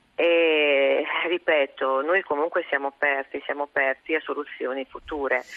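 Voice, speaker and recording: A woman with a very deep, low pitch talks at a moderate pace in a monotone, flat intonation over noticeable background noise. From Goro, Ferrara province, northern Italy. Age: 50s. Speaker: deputy mayor of a small town. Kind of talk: phone interview on radio call-in show. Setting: phone call.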